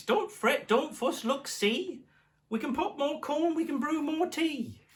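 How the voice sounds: The voice is a squeaky, high-pitched put-on character voice. It moves at a fairly slow pace.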